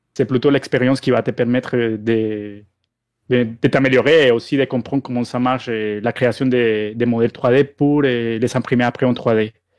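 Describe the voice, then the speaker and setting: The speaker has a Spanish accent and a moderate pace. The intonation is monotone and flat. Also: man, medium pitch for a man. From Colombia. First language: Spanish (speaking French). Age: 30s. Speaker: 3D miniature sculptor. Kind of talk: podcast interview. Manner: halting.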